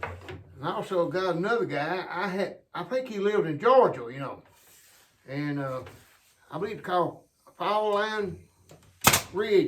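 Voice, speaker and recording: A man talks at a fairly slow pace with an Appalachian accent. Room echo is audible around his voice. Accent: Appalachian US Southern. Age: 70s. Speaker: hobby sawmiller and woodworker. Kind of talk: casual workshop tutorial. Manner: halting, repeats words.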